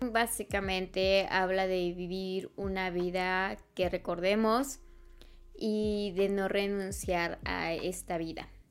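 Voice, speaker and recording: Speech comes at a very slow pace with monotone, flat intonation. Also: woman, medium pitch for a woman. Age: 20s. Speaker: podcast host. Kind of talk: personal monologue. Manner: halting.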